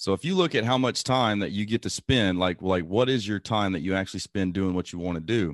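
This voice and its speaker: A man's normal speaking voice, fairly low in pitch, at a fairly quick pace with ordinary pitch variation, in a dry, close sound with no echo over a quiet background. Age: 30s. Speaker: military officer and real estate investor. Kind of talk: interview.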